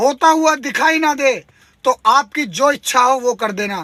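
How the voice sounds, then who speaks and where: Speaking at a very slow pace, a man uses an extremely high pitch in a raised, projected voice. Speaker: transport workers' union activist and video blogger. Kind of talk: video update to fellow workers. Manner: impassioned, emphatic.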